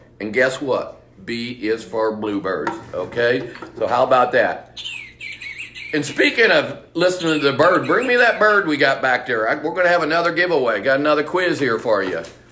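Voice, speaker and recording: In an American accent, a man with a fairly high, animated voice swings very widely in pitch over noticeable background noise. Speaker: bird shop owner. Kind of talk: live seminar. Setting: live stream. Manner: fast.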